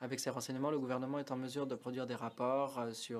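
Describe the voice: A man talks at a fairly quick pace in a medium pitch. His pitch barely moves.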